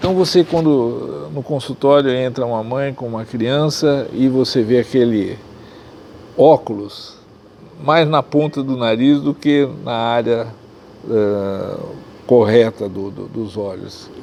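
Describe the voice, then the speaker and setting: Against noticeable background noise, a man at medium pitch speaks at a very slow pace with ordinary pitch variation and long, frequent pauses. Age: 70s. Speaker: ophthalmologist. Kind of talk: interview.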